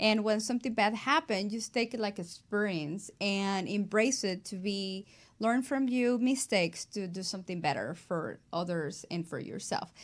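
A woman with a Mexican accent talks at a moderate pace, barely pausing, her medium pitch rising and falling in an ordinary way. The recording is very clean, with a silent background. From Mexico. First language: Spanish. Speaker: abstract artist. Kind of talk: interview.

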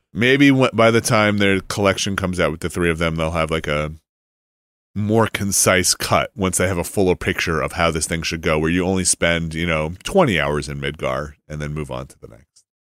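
This man talks at a middling speed in a very deep, low register. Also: ordinary pitch variation, very clean recording, silent background. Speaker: podcast host. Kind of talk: casual chat.

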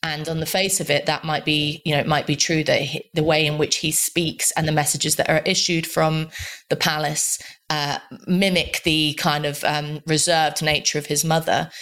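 Her intonation stays monotone and flat. This woman speaks at a very deep, low pitch. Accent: British. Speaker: columnist. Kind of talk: panel discussion. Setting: remote call.

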